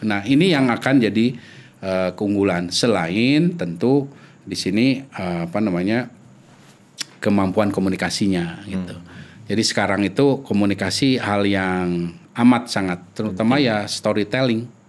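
At a fairly slow pace, a man speaks in a fairly low pitch with ordinary pitch variation and big swings in loudness. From Indonesia, Sundanese region (West Java); West Java, Indonesia. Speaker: epidemiologist; guest. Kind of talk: interview. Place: studio. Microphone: studio mic.

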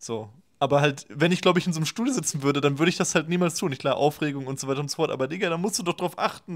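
A man's fairly high voice with ordinary pitch variation over a quiet background. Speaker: left-wing YouTube commentator. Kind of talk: reaction video commentary. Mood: critical, opinionated. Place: home room. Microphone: webcam.

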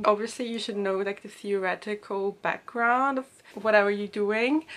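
Moderate pace with fairly even intonation. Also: woman. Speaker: student vlogger. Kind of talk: casual vlog chat. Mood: reflective, slightly stressed recollection. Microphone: camera far.

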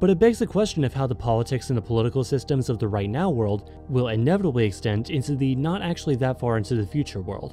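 Over music in the background, a man races along at a very fast pace with hardly any pauses and very wide pitch swings. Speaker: guest. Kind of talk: commentary.

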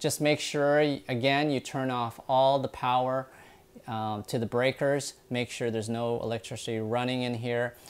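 The delivery has a monotone, flat intonation at a moderate pace. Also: man. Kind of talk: tutorial. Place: kitchen. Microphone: lapel.

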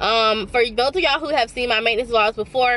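A woman speaks at a high pitch with a bright, sharp tone. Her pitch varies in an ordinary way, and the sound is dry with no echo. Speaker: vlogger. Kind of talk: casual vlog chat. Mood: playful, laughing. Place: car. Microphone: phone near.

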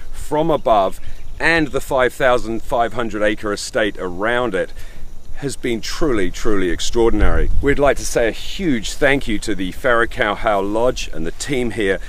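In a dry sound with no echo and light background noise, a man talks at a moderate pace with ordinary pitch variation. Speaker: travel show host. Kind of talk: travel show presenting to camera. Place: open country.

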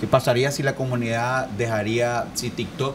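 A man with a middle-range pitch talks rather slowly, and background noise is clearly audible. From Nicaragua. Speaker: podcast host. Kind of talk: interview. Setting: studio with live audience.

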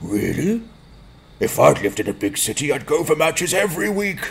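A man with a fairly high voice talks at a fairly quick clip. His pitch swings very widely. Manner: angry, suspicious.

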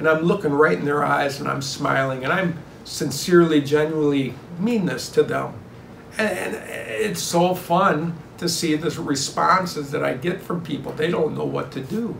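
A man talks at a moderate pace with ordinary pitch variation, amid light background noise and audible room echo. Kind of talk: interview answer. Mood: warm, sincere, upbeat. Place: home room. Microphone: phone near.

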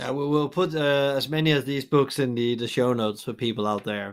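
Noticeable background noise sits behind a man's medium-pitched voice. He speaks at a moderate pace with ordinary pitch variation. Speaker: podcast host. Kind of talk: interview.

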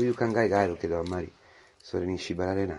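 The speaker has an Italian accent. Intonation stays fairly even. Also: man. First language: Italian (speaking Japanese). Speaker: priest. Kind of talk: homily. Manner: halting, with many fillers.

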